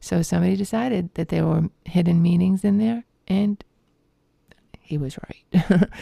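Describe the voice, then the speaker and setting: A woman speaks at a moderate pace with a Boston accent. The sound is dry and close, with no echo. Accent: Boston-area New England. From Massachusetts (Lowell). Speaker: tarot teacher. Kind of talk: reading aloud. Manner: halting.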